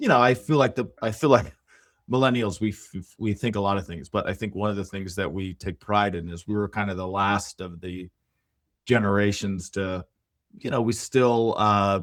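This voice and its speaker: In a very clean recording against a silent background, an unremarkable speaking voice goes along at a moderate pace, its pitch varying in an ordinary way. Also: man, fairly low pitch for a man. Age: 30s. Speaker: podcast host. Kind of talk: interview.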